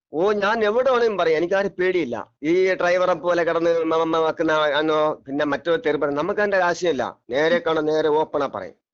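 High-pitched speech from a man, with ordinary pitch variation. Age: 50s. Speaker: eyewitness bus passenger. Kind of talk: phone interview testimony. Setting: phone call. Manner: halting, repetitive.

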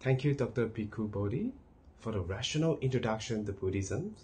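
A man with a dark, mellow tone speaks with lively intonation and a somewhat breathy quality. There is light background noise. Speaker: program host. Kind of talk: scripted announcements. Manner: formal. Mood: calm, respectful.

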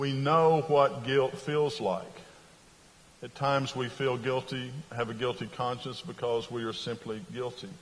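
A man's fairly slow speech with fairly even intonation. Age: 60s. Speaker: pastor and religion professor; pastor, religion professor. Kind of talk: sermon. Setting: chapel worship service. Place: church. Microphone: lapel.

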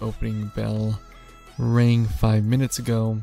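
A man at a fairly slow pace, fairly even intonation, dry sound with no echo and faint music in the background. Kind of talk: casual trading commentary. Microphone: studio mic.

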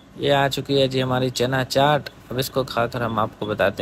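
A man speaks at a fairly slow pace over light background noise. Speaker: vlogger. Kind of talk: casual vlog chat. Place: beach. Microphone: phone near.

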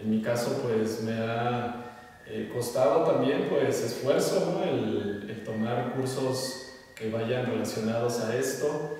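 A man speaks slowly at a medium pitch with a slightly mellow tone and ordinary pitch variation. Strong room echo surrounds his voice.

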